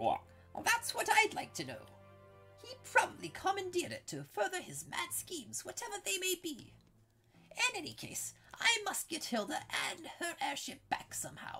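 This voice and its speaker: A man puts on a character voice, talking at a moderate pace. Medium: game stream. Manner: rueful, earnest.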